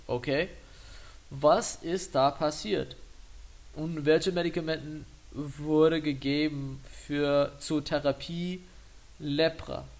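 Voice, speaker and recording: A man with a non-native accent speaks at a very slow pace in a fairly high voice. Long, frequent pauses break up his speech. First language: English (speaking German). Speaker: medical student, podcast host. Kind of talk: educational tutorial. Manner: halting, with fillers.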